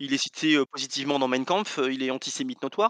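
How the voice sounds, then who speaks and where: Very fast speech with very wide pitch swings sounds dry and close, with no echo and a quiet background. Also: man. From France. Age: 40s. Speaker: board game designer. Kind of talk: casual interview.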